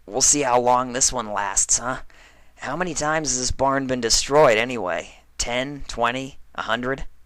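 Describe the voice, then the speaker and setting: A woman puts on a raspy character voice, very deep and low in pitch. She keeps a moderate pace in a very clean recording with a silent background. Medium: read story. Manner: sarcastic, defensive.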